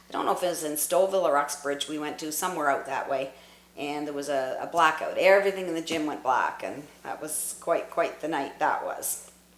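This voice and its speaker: There is noticeable background noise as a woman speaks at a fairly quick pace. Her pitch is very deep and low, with fairly even intonation. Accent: Canadian. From Newmarket, Ontario, Canada. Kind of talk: oral history interview answer. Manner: reminiscing, conversational.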